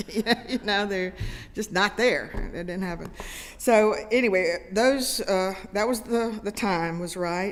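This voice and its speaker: A woman with a Southern US accent speaks at a very slow pace. Her pitch shows ordinary variation. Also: medium pitch for a woman. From US South, Greenville, South Carolina. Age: 70s. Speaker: comedian. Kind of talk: talk to a congregation. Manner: halting, many fillers.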